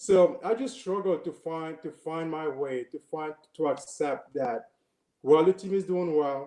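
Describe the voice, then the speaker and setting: With a slight Cameroonian accent, a man speaks in a dark, mellow tone and lively intonation. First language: French. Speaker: former college basketball player. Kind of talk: interview. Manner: hesitant, many fillers and repetitions.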